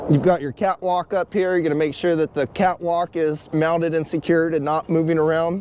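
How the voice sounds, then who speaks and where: Fairly quick and monotone, a man speaks at a high pitch with flat intonation. The sound is dry with no echo, over light background noise. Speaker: truck driver instructor. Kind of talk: tutorial. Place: open country. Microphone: phone near.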